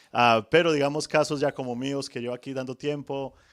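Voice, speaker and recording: This man's voice sits at a medium pitch, moving at a fairly quick pace with fairly even intonation. The sound is dry and close with no echo, on a very clean recording with a silent background. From Colombia, Manizales (paisa region). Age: 30s. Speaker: home loan officer. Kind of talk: podcast interview.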